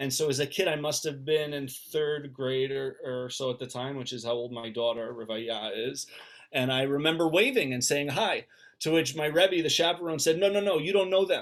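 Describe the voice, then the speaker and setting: Here a man talks at a fairly high pitch. His pitch varies in an ordinary way, and his pace is moderate. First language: Yiddish. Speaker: rabbi and author. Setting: video call. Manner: halting, many fillers and repeats.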